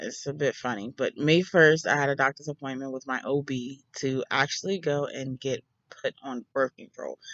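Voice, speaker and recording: With hardly any pauses, the speaker keeps a fairly even intonation in a dry, close sound with no echo. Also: woman, very deep, low pitch for a woman, moderate pace. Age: 20s. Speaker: mom vlogger. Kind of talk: casual storytime talk to camera.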